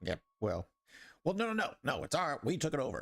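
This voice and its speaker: Doing a put-on character voice, a man talks at a fairly quick pace and a fairly high pitch. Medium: actual play. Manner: hesitant, stammering.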